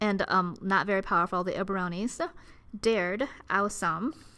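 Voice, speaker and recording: Bright and sharp in tone, a woman's voice carries fairly even intonation. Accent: Ohio. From Ohio. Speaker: Latin teacher. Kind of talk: educational commentary.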